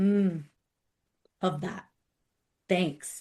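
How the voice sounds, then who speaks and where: A woman talks at a very slow pace, her voice somewhat breathy. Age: 30s. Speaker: podcast host and career coach. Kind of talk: podcast interview; scripted intro.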